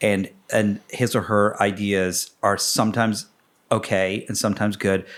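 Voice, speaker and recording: On a very clean recording with a silent background, a man with a fairly low pitch talks at a moderate pace in a monotone, flat intonation. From northern England (Yorkshire). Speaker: podcast co-host. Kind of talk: casual chat.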